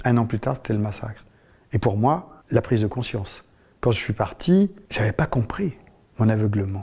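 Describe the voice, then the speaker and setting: This man has a dark, mellow, somewhat breathy tone and lively intonation at a moderate pace. The recording is very clean, with a silent background. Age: 60s. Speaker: former cult member. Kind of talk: testimony. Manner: halting.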